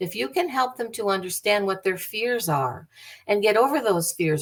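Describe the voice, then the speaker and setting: A woman speaks at a medium pitch and a moderate pace with an American accent and lively intonation. It is an ordinary speaking voice. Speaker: bereavement speaker, bereaved parent. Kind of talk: lecture.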